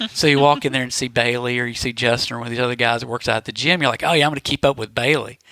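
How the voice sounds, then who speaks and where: Speaking very fast with hardly any pauses, a man with a Southern US accent and a medium pitch keeps a fairly even intonation, recorded dry and close with no echo amid noticeable background noise. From Mississippi. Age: 40s. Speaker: podcast guest. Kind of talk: casual chat.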